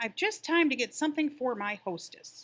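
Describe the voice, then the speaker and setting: A put-on character voice bellows in a high pitch. The pace is moderate. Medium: read story.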